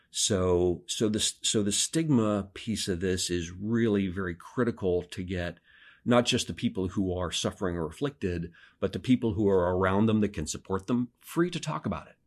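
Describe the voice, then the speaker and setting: A man with an American accent speaks at a moderate pace in an ordinary speaking voice, fairly low in pitch with ordinary pitch variation and big swings in loudness, against a quiet background. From Pennsylvania. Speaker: parish ministry volunteer, audiobook narrator. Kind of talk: interview conversation.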